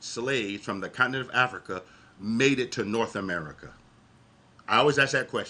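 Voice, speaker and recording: A man speaks fairly quickly with ordinary pitch variation. His is an unremarkable speaking voice. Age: 50s. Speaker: livestream panelist. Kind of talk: heated debate.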